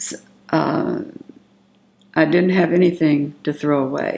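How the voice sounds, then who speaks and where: A woman with a Southern US accent speaks at a very slow pace. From US South, Magnolia, Arkansas. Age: 70s. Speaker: family elder interviewee. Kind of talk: oral history interview. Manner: halting, with fillers.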